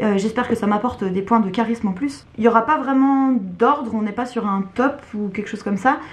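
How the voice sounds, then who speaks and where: Her voice somewhat breathy and fairly high, a woman speaks with fairly even intonation. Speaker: book YouTuber. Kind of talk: casual video monologue. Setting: at home. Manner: hesitant, many fillers.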